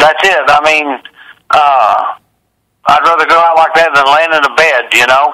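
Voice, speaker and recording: A man speaks at a moderate pace with a fairly high pitch and fairly even intonation, leaving long, frequent pauses. His loudness stays very even throughout. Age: 60s. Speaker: funny car drag racer. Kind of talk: phone interview. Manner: youthful-sounding.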